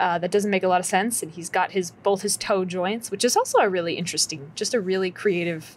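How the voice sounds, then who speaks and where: A woman talks with fairly even intonation, keeping a moderate pace. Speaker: reaction video host. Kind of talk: casual vlog chat. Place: home room. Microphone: studio mic.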